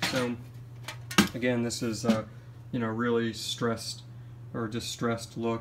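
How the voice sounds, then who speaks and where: At a medium pitch, a man talks at a moderate pace. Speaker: PC building hobbyist YouTuber. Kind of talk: casual show-and-tell vlog. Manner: hesitant, many fillers; uneven pace and volume, throat clearing.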